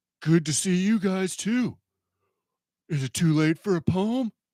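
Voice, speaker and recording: Someone performs a cartoonish character voice at a middle pitch and a moderate pace. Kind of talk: cartoon impression. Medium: comedy sketch.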